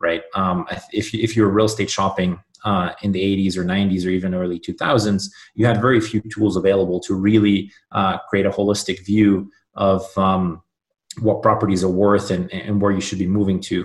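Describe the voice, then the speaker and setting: A man's fairly low, monotone voice with flat intonation at a moderate pace, over a quiet background. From southern Germany (born in Budapest, Hungary). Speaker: startup founder and CEO. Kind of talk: interview. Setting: remote call.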